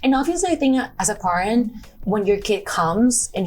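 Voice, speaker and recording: Music plays in the background. A woman talks with a Spanish accent. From Mexico, Guadalajara. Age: 20s. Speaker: model. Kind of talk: interview.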